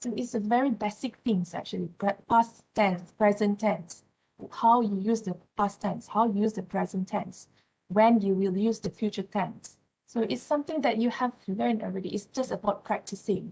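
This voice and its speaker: A woman with a Malaysian accent speaks at a moderate pace and medium pitch. Her tone is dark and mellow, and somewhat breathy. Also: ordinary pitch variation. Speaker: university lecturer. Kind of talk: lecture. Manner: halting.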